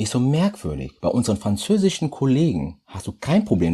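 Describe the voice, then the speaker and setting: With a dark, mellow tone and a somewhat breathy quality, a man speaks at a moderate pace with very wide pitch swings. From Germany, Düren area (Rhineland), came from Congo via Portugal aged 10-11. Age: 30s. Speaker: chemist and business development manager. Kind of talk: podcast interview.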